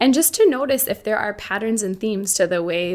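A woman with an American accent speaks at a fairly quick pace with ordinary pitch variation. The recording is very clean, with a silent background. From Boston. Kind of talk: interview conversation. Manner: hesitant with fillers.

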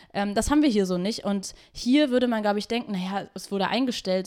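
Very fast speech from a woman, medium in pitch with ordinary pitch variation. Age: 20s. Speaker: activist and DJ. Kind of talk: casual chat. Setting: host's kitchen.

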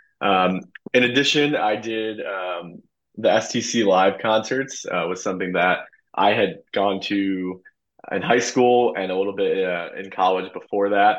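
An unremarkable speaking voice from a man, fairly low in pitch, with ordinary pitch variation and a fairly slow pace. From US Midwest, Illinois suburbs. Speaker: former intern, consultant. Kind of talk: casual interview. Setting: video call.

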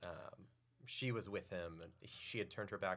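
A man with a very deep, low pitch and an American accent, fairly even intonation, and a moderate pace. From Oklahoma. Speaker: comedy writer and stand-up comedian. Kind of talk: casual chat.

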